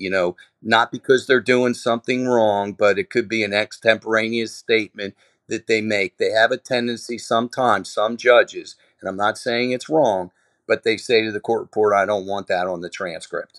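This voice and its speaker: In a very clean, silent recording with dry, close sound and no echo, a man with a plain, everyday voice talks at a moderate pace, his medium pitch carried by fairly even intonation. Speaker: lawyer. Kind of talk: casual chat.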